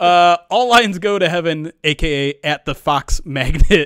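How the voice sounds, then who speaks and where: Against a quiet background, a man talks in a high voice, the sound dry with no echo. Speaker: producer and podcast host; podcast host. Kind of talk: casual chat. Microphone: studio mic.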